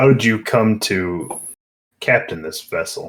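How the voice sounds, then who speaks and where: A man speaks at a fairly slow pace in a raspy, put-on character voice with a medium pitch. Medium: actual play. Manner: terse, measured.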